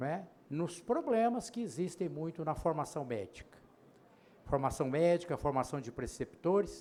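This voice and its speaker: This man has a high pitch, a dark, mellow tone and lively intonation, and he speaks at a fairly slow pace. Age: 80s+. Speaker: panel moderator, physician. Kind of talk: conference panel introduction. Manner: halting, with filler hesitations.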